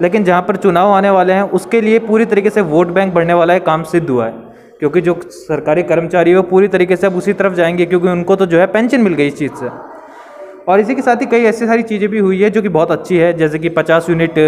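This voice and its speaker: A man's high-pitched voice over light background noise. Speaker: interviewee. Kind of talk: interview answer. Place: home room. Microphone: handheld.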